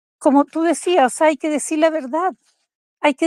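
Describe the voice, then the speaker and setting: The sound is dry and close with no echo as a woman speaks at a high pitch and a moderate pace, with fairly even intonation. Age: 60s. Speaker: invited participant. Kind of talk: emotional tribute.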